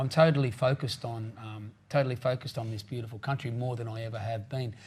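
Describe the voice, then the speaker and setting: Speaking at a very fast pace with big swings in loudness, a man with an Australian accent sounds somewhat breathy. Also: medium pitch for a man, fairly even intonation. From Australia, New South Wales south coast. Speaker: country singer-songwriter. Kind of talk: interview.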